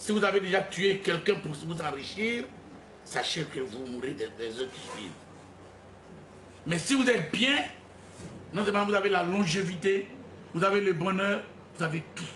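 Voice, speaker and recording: Over noticeable background noise and audible room echo, a man with a high voice talks at a moderate pace with lively intonation, big swings in loudness, and long, frequent pauses. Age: 60s. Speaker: self-proclaimed spiritual leader. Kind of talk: press conference. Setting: press conference with journalists.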